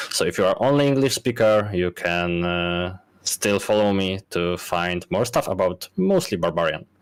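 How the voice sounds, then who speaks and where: A man with a Polish accent and a fairly low pitch, at a moderate pace with hardly any pauses and ordinary pitch variation. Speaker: game content creator and guide writer. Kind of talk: panel discussion. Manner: halting.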